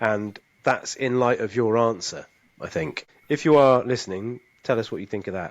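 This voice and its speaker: A man talks in an ordinary speaking voice at medium pitch with ordinary pitch variation. His pace is moderate, and the background is quiet. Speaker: podcast host. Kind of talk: casual chat.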